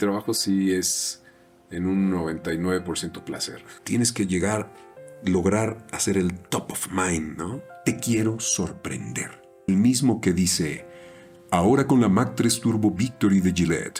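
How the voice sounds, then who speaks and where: A man speaks at a fairly slow pace in a very deep, low voice with ordinary pitch variation. Music plays in the background. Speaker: voice actor.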